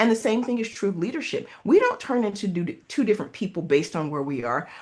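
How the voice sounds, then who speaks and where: Very wide pitch swings mark this voice with an American accent. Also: woman. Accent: Southern US accent, varies in strength. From US South. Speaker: leadership coach and consultant. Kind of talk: interview.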